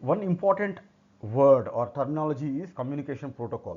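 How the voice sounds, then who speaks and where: In an Indian accent, a man speaks fairly quickly with lively intonation and a fairly high pitch. His tone is dark and mellow against a quiet background. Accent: Indian English (Telugu). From South India, Telugu-speaking state. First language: Telugu. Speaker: technical instructor. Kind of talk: tutorial. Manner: halting.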